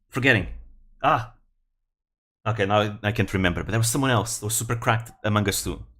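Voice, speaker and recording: A man with a Portuguese accent talks at a very fast pace in a bright, sharp tone, his pitch medium. His intonation is fairly even, broken by long, frequent pauses. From Portugal. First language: European Portuguese. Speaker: vtuber streamer. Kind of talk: casual live stream commentary. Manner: halting.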